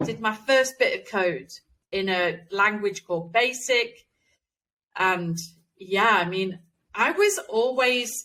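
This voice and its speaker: A woman's bright, sharp voice at a very slow pace, broken by long, frequent pauses. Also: fairly high pitch for a woman, ordinary pitch variation. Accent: East Midlands. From England, East Midlands (Nottingham). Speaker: game developer. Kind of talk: interview.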